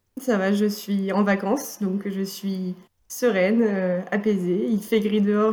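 A woman's somewhat breathy voice, medium in pitch, with a dark, mellow tone and fairly even intonation. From northern France, Valenciennes. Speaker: student and amateur improviser. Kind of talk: casual interview.

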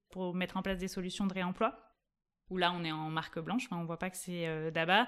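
A woman is speaking at a medium pitch. Her pace is fairly quick. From southwestern France, Toulouse area. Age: 30s. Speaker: startup co-founder. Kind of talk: interview. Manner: energetic.

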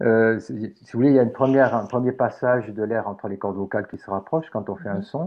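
This man talks at a very fast pace with a medium pitch and ordinary pitch variation. His loudness swings widely. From southern France. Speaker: phoniatrist. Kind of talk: interview. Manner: soft-spoken.

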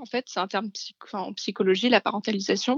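The speaker is a woman with a fairly high pitch. Her intonation is fairly even. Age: 20s. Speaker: graphic design student sharing her experience. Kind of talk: testimony. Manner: halting.

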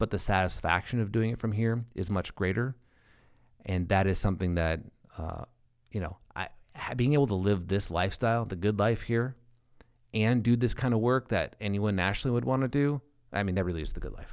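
With an Upper Midwest accent, a man speaks at a fairly low pitch and a fairly quick pace, with ordinary pitch variation and long, frequent pauses. The recording is very clean, the background silent. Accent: Upper Midwest American. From South Dakota, small town near Sioux Falls. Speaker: advertising agency founder. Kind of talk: casual interview.

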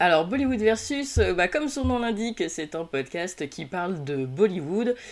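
Her voice swings very widely in pitch as this woman speaks. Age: 30s. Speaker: podcaster guest. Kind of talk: casual chat.

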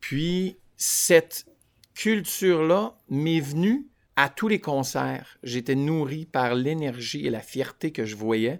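In an Ontario French accent, a man talks at a very slow pace with a fairly high pitch and lively intonation. The recording is very clean, with a silent background. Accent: Franco-Ontarian French. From Vanier, Ottawa, Ontario. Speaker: singer. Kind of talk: casual interview. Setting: at home by a window.

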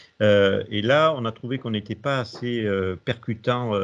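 This man's speech is fairly slow, and his pitch varies in an ordinary way. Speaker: hospital director. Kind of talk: interview. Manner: halting, many hesitations and repeated words.

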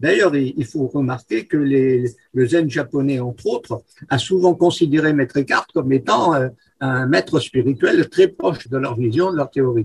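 A man talks fairly slowly at a fairly high pitch. His voice is somewhat breathy, with ordinary pitch variation. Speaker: freemason, guest. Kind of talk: interview. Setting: remote recording.

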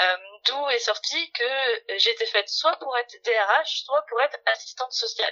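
A woman's high-pitched voice at a fairly slow pace, with lively intonation and very even loudness. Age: 40s. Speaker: HR director. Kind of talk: interview.

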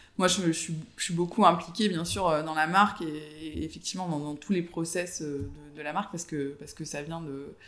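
At a moderate pace, a man talks in a high pitch with a bright, sharp tone, fairly even intonation and big swings in loudness. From southern France, Avignon. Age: 30s. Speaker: fashion entrepreneur. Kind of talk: interview. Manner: hesitant, many fillers.

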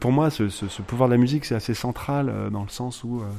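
Dark and mellow in tone, a man's voice sits at a medium pitch. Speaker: theatre director and musician. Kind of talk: radio interview.

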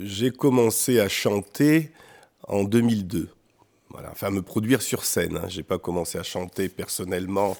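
Here a man talks at a fairly slow pace. His pitch is fairly low, with ordinary pitch variation. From France, born in Benin. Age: 50s. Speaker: real estate agent and singer. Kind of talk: radio interview. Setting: studio. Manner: halting.

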